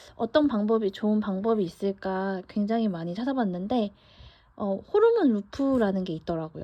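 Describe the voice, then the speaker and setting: Talking at a moderate pace, a woman with an unremarkable speaking voice uses lively intonation and a fairly high pitch. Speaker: vlogger. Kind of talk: casual monologue. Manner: conversational with fillers.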